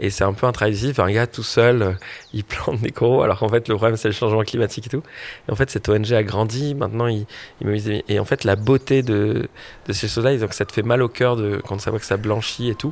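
A man's voice sits at a medium pitch. The intonation stays fairly even. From French Polynesia. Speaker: social entrepreneur. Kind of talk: interview. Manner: casual, hesitant with fillers.

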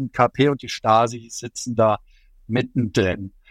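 This very clean recording of a man, with a silent background, has a dry, close sound with no echo. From Germany, Allgäu (Bavarian Swabia). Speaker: journalist and China expert. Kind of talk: interview. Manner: hesitant with frequent fillers.

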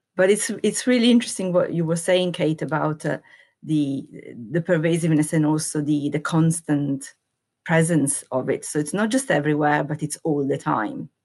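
A woman with an Italian accent and a very deep, low pitch. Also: ordinary pitch variation, moderate pace, quiet background. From Italy. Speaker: epidemiologist. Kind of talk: interview.

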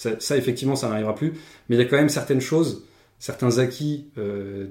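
A man with a dark, mellow tone, medium pitch and very fast pace. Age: 30s. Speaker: applied mathematics PhD. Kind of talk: casual chat.

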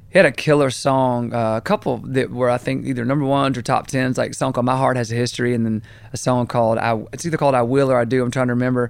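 A man speaks with a Southern US accent at medium pitch. His pace is very fast. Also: hardly any pauses. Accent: Southern US (Georgia). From US South, Augusta, Georgia. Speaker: country songwriter and producer. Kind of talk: interview, casual chat. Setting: studio. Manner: casual, animated.

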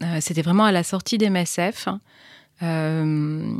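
Fairly even intonation at a fairly slow pace. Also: woman. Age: 40s. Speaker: entrepreneur, founder of a women's intimate health platform. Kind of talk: interview. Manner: halting.

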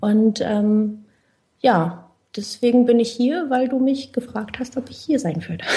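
The voice has a dark, mellow tone, a very slow pace and ordinary pitch variation. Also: woman, fairly high pitch for a woman. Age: 20s. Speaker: finance blogger. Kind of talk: interview.

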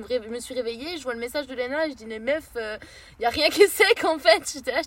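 A woman's high-pitched voice, animated in tone, with lively intonation. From France. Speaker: traveller on a road trip. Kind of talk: casual chat.

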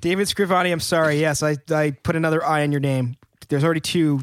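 The speaker talks at a very fast pace with fairly even intonation. The sound is dry and close, with no echo. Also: man. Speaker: band member and podcast host. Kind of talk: casual banter. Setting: studio. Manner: joking.

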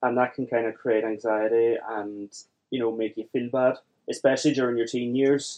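In a Derry accent, a man speaks at medium pitch and a moderate pace with fairly even intonation. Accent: Northern Irish (Derry). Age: 20s. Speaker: software developer with Asperger's. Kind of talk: interview. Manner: halting.

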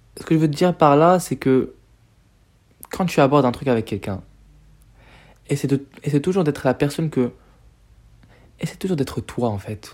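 This man has a fairly high voice with lively intonation. He speaks at a moderate pace on a very clean recording with a silent background. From Morocco. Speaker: podcaster. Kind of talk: casual monologue. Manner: hesitant, filler-heavy.

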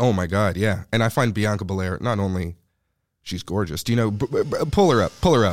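This man's voice sits fairly low. He speaks at a fairly quick pace with ordinary pitch variation. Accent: Montreal. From Montreal, Quebec (NDG). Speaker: comedian. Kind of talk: casual chat.

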